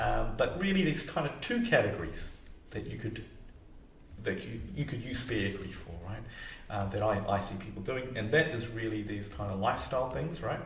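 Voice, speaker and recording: Over noticeable background noise and audible room echo, a man with a fairly low voice talks at a fairly quick pace with lively intonation. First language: not English. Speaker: mortgage broker and financial advisor. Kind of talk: explainer video to camera. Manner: casual, hesitant with fillers.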